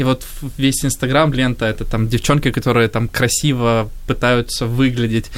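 A man speaks at a medium pitch in an ordinary speaking voice. The intonation is fairly even. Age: 20s. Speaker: youth pastor. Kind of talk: panel discussion.

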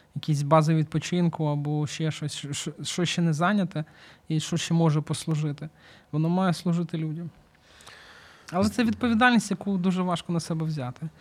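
A man uses a plain, everyday voice with a fairly high pitch. He talks at a moderate pace with ordinary pitch variation. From Ukraine, Kyiv. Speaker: volunteer, charity founder. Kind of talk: interview.

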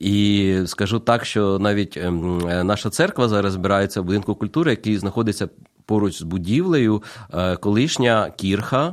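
In an ordinary speaking voice, a man talks at a fairly low pitch with ordinary pitch variation and very even loudness. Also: moderate pace, very clean recording, silent background. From Ukraine, Kyiv. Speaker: pastor. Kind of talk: radio interview. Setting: studio.

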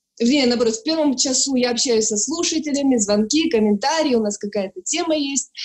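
This woman speaks at a high pitch. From Ukraine, Sloviansk, Donetsk region. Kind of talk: personal testimony.

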